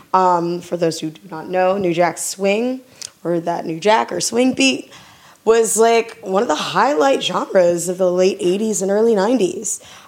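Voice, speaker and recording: A woman speaks with an American accent at a fairly slow pace. Noticeable background noise is present. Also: medium pitch for a woman, ordinary pitch variation. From US South. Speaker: radio DJ. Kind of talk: casual radio show links. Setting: studio. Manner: animated.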